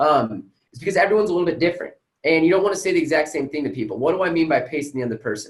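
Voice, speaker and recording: A man is talking. His pitch shows ordinary variation. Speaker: sales coach. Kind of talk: unscripted live training talk. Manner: fast; energetic.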